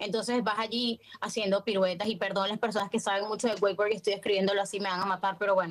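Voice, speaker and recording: A woman with a Venezuelan accent speaks at a very fast pace. Her medium-pitched voice stays monotone and flat. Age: 20s. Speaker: actress. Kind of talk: casual chat.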